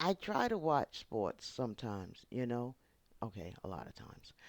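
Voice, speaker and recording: A woman with a New York accent speaks in an animated tone with very wide pitch swings. The recording is very clean, with a silent background. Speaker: YouTube channel host. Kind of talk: casual vlog monologue.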